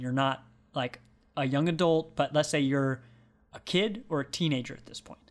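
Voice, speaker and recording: A man talks in a normal speaking voice, fairly high in pitch, at a moderate pace with fairly even intonation. The recording is very clean, with a silent background. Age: 20s. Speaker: video game podcast panelist. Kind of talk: casual chat.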